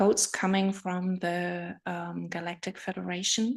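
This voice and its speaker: With a German accent, a woman speaks very slowly in a monotone, flat intonation. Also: quiet background. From Germany. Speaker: spiritual healer. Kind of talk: live video stream talk. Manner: halting.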